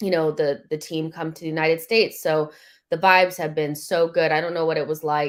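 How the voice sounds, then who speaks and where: A woman talks at a fairly quick pace with an American accent and a very deep, low pitch. Her intonation is monotone and flat, with big swings in loudness. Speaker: football fan commentator. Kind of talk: casual chat.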